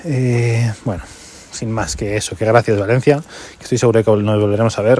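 Over noticeable background noise, a man with a fairly low voice talks at a fairly quick pace with fairly even intonation. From Madrid region, Spain. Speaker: podcast host, amateur runner. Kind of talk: casual monologue race report.

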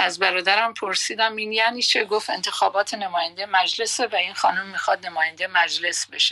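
A woman at medium pitch talks at a moderate pace with fairly even intonation over noticeable background noise. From Iran, Khuzestan (Masjed Soleyman). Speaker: retired radio journalist. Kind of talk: life story interview. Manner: calm, soothing.

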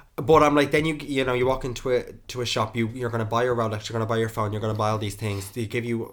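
This is a man speaking with an Irish accent. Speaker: podcast host. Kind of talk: casual chat.

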